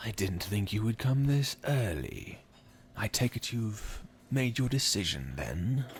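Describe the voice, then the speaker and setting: A man's put-on character voice, with lively intonation, very even loudness and a fairly slow pace. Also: medium pitch for a man. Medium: audio drama. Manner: cold, contemptuous.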